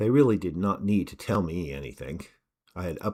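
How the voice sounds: A natural reading voice is heard, and the background is quiet.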